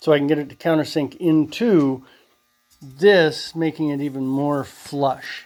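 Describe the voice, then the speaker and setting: An unremarkable speaking voice moves at a fairly slow pace with fairly even intonation. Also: man, fairly high pitch for a man. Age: 60s. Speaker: DIY metalworking hobbyist. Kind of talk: workshop tutorial. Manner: casual, rambling with fillers and sound effects.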